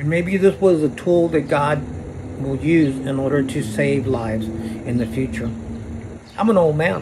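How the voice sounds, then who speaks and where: A man with an American accent speaks at a fairly slow pace and a medium pitch, with lively intonation. Noticeable background noise runs underneath. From Arizona, Phoenix area. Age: 60s. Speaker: vlogger. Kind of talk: personal video monologue. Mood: serious, aggrieved, religious. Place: street. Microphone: phone near.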